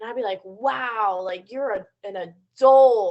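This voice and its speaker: At a fairly slow pace, a woman with an unremarkable speaking voice talks with ordinary pitch variation. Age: 20s. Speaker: podcast co-host. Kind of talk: casual chat.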